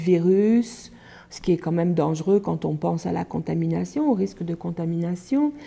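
The woman's voice sits at a medium pitch with a dark, mellow tone. She speaks at a moderate pace. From France. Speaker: hepatitis C helpline worker. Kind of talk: documentary interview. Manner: hesitant, with many fillers. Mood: earnest, concerned. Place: office.

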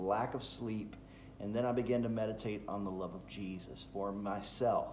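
At a fairly slow pace, a man talks with ordinary pitch variation amid light background noise and audible room echo. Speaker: pastor. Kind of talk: devotional talk. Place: home room. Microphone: phone near.

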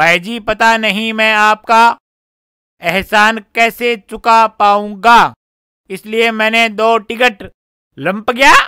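A man's raised, projected voice with a bright, sharp tone, a very slow pace and a dry sound with no echo. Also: quiet background. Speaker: actor in comedy skit. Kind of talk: scripted comedic dialogue, reading a letter. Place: open country.

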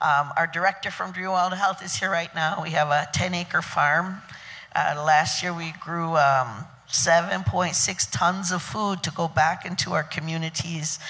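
In a fairly low, bright and sharp voice, a woman speaks fairly slowly with fairly even intonation. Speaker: wild foods educator. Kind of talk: panel talk at a conference. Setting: stage with audience. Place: hall. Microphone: handheld.

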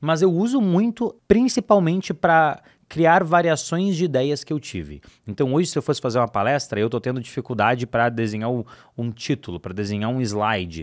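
A man with a medium pitch talks at a fairly quick pace, his voice making very wide pitch swings against a quiet background. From Brazil. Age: 20s. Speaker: digital marketing expert; podcast guest. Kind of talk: casual chat. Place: studio. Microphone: studio mic.

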